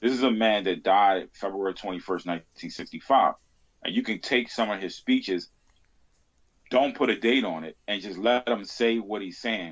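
A normal speaking voice from a man, fairly low in pitch, at a moderate pace with ordinary pitch variation. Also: quiet background. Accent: American. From US, Baltimore. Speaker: podcast host on Malcolm X. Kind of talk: casual interview chat.

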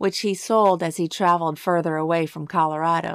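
A woman talks in an ordinary speaking voice with a fairly low pitch. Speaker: true crime podcast host. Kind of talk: true-crime narration, scripted and read aloud in a solemn, storytelling tone. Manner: measured, even-paced and grave, with clear factual delivery; somber and sympathetic when describing the family's grief.

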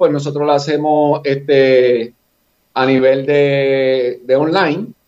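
This man has a fairly high pitch and speaks in a Puerto Rican accent. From Puerto Rico, Fajardo area. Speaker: running coach and former athlete. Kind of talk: casual podcast chat.

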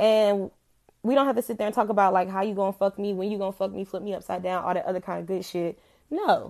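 Over a quiet background, a woman talks at a very fast pace. Her pitch is medium. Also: fairly even intonation. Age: 20s. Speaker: podcast host. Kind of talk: casual monologue.

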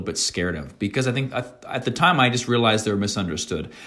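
A man speaks at a medium pitch in a plain, everyday voice with a Canadian accent. His intonation is lively. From rural New Brunswick, Canada. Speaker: travel content creator. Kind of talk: casual interview chat.

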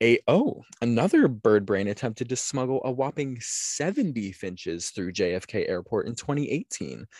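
A man's voice, dry and close with no echo, over a quiet background. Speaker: podcast host. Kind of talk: casual chat, true crime storytelling. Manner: animated, joking.

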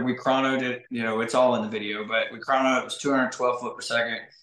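Over noticeable background noise, a man at a medium pitch speaks at a very fast pace in a monotone, flat intonation. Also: hardly any pauses. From Arkansas. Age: 30s. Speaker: bowhunter and outdoors YouTuber. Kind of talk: casual chat.

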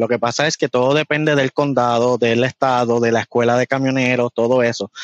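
A fairly quick voice with a Puerto Rican accent, dry and close with no echo, over a quiet background. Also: man. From Puerto Rico. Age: young. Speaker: truck driver. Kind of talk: casual interview.

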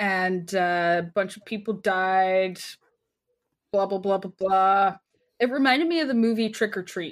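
On a very clean recording with a silent background, a woman with a Canadian accent uses a normal speaking voice at a medium pitch, speaking fairly slowly with ordinary pitch variation and big swings in loudness. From Canada. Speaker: podcast co-host. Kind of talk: casual chat.

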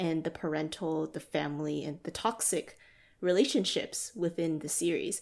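Recorded very cleanly against a silent background, a woman with an ordinary speaking voice talks at a moderate pace and fairly low pitch, using ordinary pitch variation. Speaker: podcast co-host. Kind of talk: casual chat.

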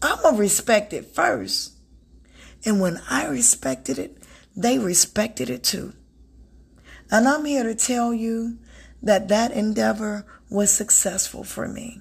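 A woman with a fairly high, warm voice and vocal fry talks at a fairly slow pace, her pitch swinging very widely between long, frequent pauses, in a very clean recording with a silent background. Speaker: self-help podcast host and author. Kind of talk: motivational solo talk. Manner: warm, conversational.

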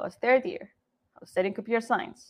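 A woman speaks with a Saudi accent. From Saudi Arabia, Jeddah. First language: Arabic. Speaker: game developer. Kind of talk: conference talk. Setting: livestream.

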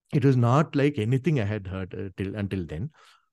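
Over a quiet background, a man with an Indian accent speaks at a fairly quick pace with lively intonation and a dark, mellow tone. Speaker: Carnatic singer and veena player. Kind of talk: casual interview conversation.

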